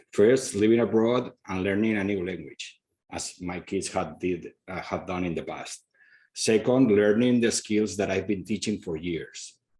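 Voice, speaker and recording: A man with a Spanish accent speaks at a fairly slow pace in a dark, mellow tone. His fairly low pitch shows ordinary pitch variation against a quiet background. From Spain. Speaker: school founder, former professor. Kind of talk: presentation.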